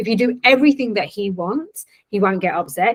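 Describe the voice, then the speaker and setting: A woman speaks in an unremarkable speaking voice, pitched fairly high. Her pace is fairly quick and her intonation lively. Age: 40s. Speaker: trauma transformation coach. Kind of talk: interview.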